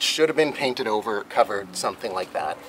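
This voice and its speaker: Light background noise can be heard. Over it, a man talks. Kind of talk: tutorial. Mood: calm, mildly humorous. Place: boat.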